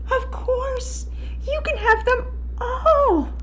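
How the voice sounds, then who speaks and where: A squeaky, put-on character voice. Background noise is clearly audible. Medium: read story. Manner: deadpan.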